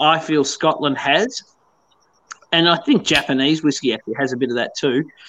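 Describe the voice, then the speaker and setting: Against a quiet background, a man with an Australian accent speaks at a moderate pace, his fairly high voice bright and sharp in tone with ordinary pitch variation. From Tasmania, Australia. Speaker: whisky company founder. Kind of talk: casual chat. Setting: video call.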